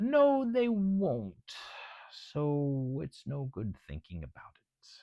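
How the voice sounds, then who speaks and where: At a very slow pace, a put-on character voice sits at a low-to-middle pitch. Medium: read story. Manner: pompous, lecturing.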